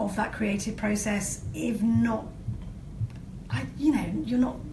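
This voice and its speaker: In a room with audible echo, a woman speaks fairly slowly in a fairly high pitch. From northern England. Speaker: comedy writer and actor. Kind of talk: interview. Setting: live-streamed video interview.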